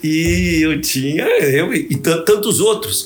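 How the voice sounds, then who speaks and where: Audible room echo and noticeable background noise surround the voice. A man speaks at a fairly high pitch. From Brazil, Santos (São Paulo state). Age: 70s. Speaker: audit court president, former prosecutor. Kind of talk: interview. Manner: formal.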